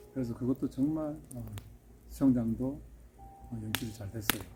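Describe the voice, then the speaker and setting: With music in the background, a man with a Gyeongsang accent talks at a moderate pace with medium pitch and ordinary pitch variation. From Seoul, later Gyeonggi. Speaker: pool villa builder, channel host. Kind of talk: casual interview chat.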